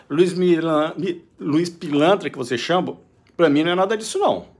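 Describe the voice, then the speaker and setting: With a high pitch and an animated tone, a man speaks at a very fast pace. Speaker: vlogger, business owner. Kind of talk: opinion monologue.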